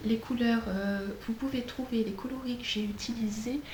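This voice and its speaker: A woman speaks at a fairly slow pace with fairly even intonation. Noticeable background noise and audible room echo fill the recording. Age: 40s. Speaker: flosstube vlogger, childminder. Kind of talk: casual craft vlog. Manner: hesitant, many fillers.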